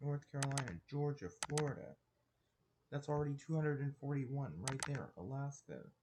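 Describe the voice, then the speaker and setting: A man with a fairly high pitch and a somewhat breathy voice speaks at a fairly quick pace, keeping fairly even intonation and very even loudness. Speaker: political commentary youtuber. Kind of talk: casual commentary over poll maps. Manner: halting, many restarts and fillers; casual and informal.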